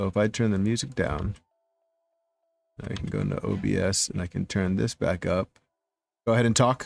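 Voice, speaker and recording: With music in the background, a man with an American accent speaks at a moderate pace and fairly low pitch, using ordinary pitch variation and long, frequent pauses in a dry, close sound with no echo. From New Jersey. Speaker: 3D printing livestreamer. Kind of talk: livestream casual chat.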